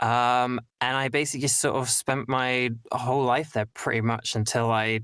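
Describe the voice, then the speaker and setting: In a very clean recording with a silent background, a man talks at a moderate pace and medium pitch, his intonation monotone and flat, with hardly any pauses. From east of England (Cambridgeshire). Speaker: voice actor. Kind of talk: casual chat interview on a live stream.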